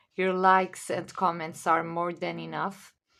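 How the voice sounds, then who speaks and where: In a very clean recording with a silent background, a woman with a Portuguese accent talks at a moderate pace and a medium pitch. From Portugal. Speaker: tarot reader and video creator. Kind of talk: casual haul video.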